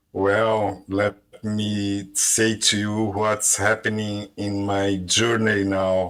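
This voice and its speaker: A man delivers his words at a very slow pace and fairly low pitch, with monotone, flat intonation. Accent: strong Brazilian. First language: Portuguese. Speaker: language learner. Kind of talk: casual group conversation. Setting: online voice chat room on a language app. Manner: halting, hesitant.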